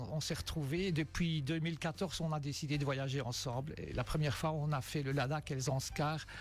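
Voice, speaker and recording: Music plays behind a man speaking at a fairly quick pace. His pitch is fairly high, with ordinary variation. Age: 60s. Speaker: amateur cyclist, charity fundraiser. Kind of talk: radio interview. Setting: radio studio.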